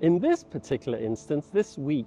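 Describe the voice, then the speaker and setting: Faint music sits behind a man talking at a moderate pace, his sound dry with no echo. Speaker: vlogger. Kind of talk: casual vlog chat. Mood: reflective. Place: street. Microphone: lapel.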